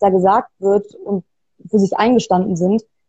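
A woman speaks at a moderate pace in a dark, mellow tone. Her voice is somewhat breathy, with ordinary pitch variation. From Bavaria, Germany. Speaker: author and designer. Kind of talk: interview. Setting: video call.

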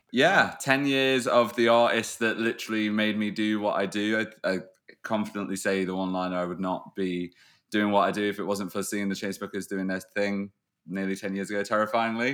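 A man speaks with a British accent, his pitch fairly low. His intonation stays fairly even. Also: fairly quick pace. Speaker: podcast co-host. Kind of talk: casual chat.

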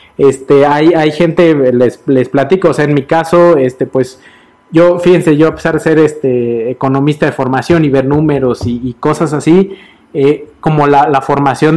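A man with a fairly high voice talks at a moderate speed. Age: middle-aged. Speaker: financial advisor. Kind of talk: casual chat. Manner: halting.

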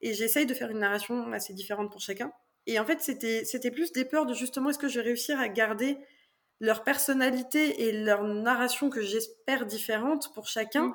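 On a very clean recording with a silent background, a woman speaks at a high pitch and moderate pace with ordinary pitch variation. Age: 20s. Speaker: author and physiotherapist. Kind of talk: interview.

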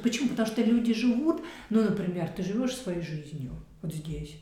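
There's noticeable noise in the background. The talking proceeds at a moderate speed. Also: woman. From Central Russia. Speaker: architect. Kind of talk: casual chat.

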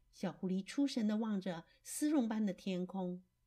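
Someone is reading aloud in a natural voice. The delivery stays in that natural reading voice throughout.

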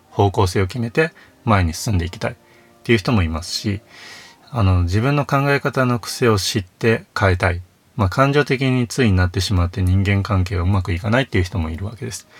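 A somewhat breathy man talks at a fairly quick pace with a fairly low pitch and ordinary pitch variation. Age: 30s. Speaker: counselor and author, podcast host. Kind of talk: solo monologue podcast. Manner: frequent filler words.

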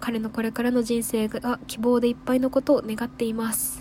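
A woman speaks in a fairly high, animated voice. Noticeable background noise can be heard. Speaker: radio host. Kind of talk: casual solo radio talk. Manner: animated, fast talker.

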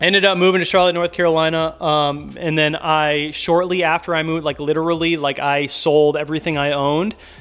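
A man's monotone, flat speech in an American accent, at a fairly quick pace with hardly any pauses. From US Midwest, Minneapolis and Milwaukee. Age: 30s. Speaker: car YouTuber. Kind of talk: casual monologue. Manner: casual, filler-heavy.

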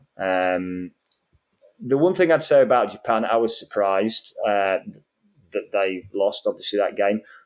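In a Yorkshire accent, a man speaks at a fairly slow pace with long, frequent pauses. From northern England, Yorkshire. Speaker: football podcast panelist. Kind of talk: casual chat.

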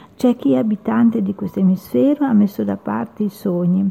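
An unremarkable speaking voice comes with lively intonation. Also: woman. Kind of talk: poetry reading, spoken-word style with solemn, lyrical delivery. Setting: radio studio. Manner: slow, measured, reflective and emotive, with pauses.

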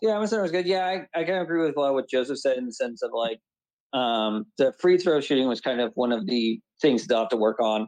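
Very fast and with lively intonation, a man speaks at a medium pitch in a dry, close sound with no echo. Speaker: fan caller. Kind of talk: casual chat.

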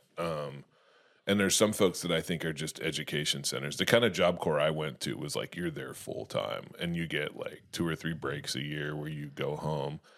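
This man's very deep, low voice carries vocal fry. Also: ordinary pitch variation, moderate pace. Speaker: comedian podcast host. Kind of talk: casual comedy podcast chat. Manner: joking, rambling, laughs a lot.

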